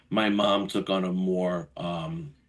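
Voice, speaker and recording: Over a quiet background, a man talks with an American accent. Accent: Brooklyn Italian-neighborhood New York. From New York, Brooklyn. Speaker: financial advisor and Marine veteran. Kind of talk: podcast interview. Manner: animated, conversational.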